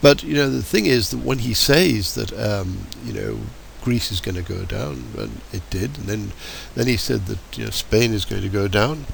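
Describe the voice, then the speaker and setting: With an English accent, a man speaks at a moderate pace. Noticeable background noise and audible room echo fill the recording. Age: 70s. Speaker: political commentator. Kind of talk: political monologue. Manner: hesitant, many fillers.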